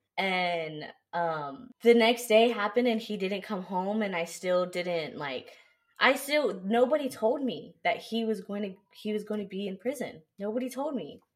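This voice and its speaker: A woman at medium pitch with an American accent, lively intonation and a fairly slow pace. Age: 20s. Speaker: car dealership manager. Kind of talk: casual chat.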